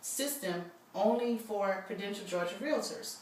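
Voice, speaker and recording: Through noticeable background noise and audible room echo, a woman is heard speaking. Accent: American. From New Orleans, US. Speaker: realtor. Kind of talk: sales pitch (role-played listing presentation).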